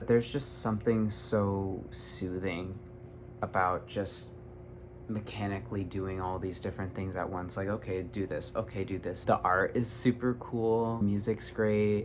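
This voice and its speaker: Here a man talks at a fairly slow pace with a fairly low pitch. His intonation is lively. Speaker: YouTuber, self-taught artist. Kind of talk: casual vlog monologue. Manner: animated.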